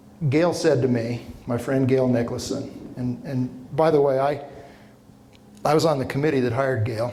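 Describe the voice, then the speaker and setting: With audible room echo, a man of medium pitch speaks at a moderate pace in a somewhat breathy voice with a dark, mellow tone. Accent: American. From Utah, Ogden area. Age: 60s. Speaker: professor. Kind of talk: lecture. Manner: animated.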